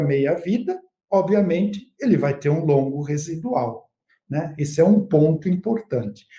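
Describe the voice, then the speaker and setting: A man's dark, mellow tone with lively intonation. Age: 60s. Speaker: agronomy researcher and consultant. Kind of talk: expert interview in a live webinar. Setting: online live stream.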